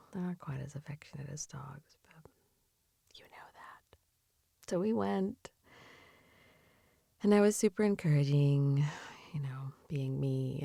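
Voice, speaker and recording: A woman with a very deep, low voice speaks at a fairly slow pace, somewhat breathy and dark and mellow in tone, gentle and soothing, her pitch swinging very widely and her loudness rising and falling a lot, with long, frequent pauses. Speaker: ASMR / comfort and sleep-aid creator. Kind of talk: comforting ASMR improv for grieving pet owners. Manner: soft, gentle, soothing, empathetic.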